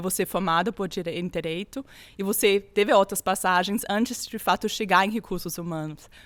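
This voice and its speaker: A woman's medium-pitched speech, moderate in speed, shows ordinary pitch variation. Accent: non-native. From Austria. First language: German (speaking Portuguese). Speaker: HR executive and podcast host. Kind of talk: interview conversation.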